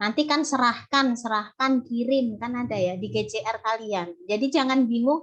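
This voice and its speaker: Moderately paced speech from a woman, high in pitch and with ordinary pitch variation. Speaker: university lecturer. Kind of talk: online lecture. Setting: video call.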